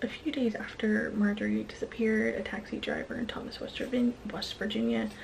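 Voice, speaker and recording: A woman whispers at a fairly slow pace. Noticeable background noise runs underneath. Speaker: true crime storyteller. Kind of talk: true crime narration to camera. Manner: whispered. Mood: serious, subdued. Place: home room. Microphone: phone near.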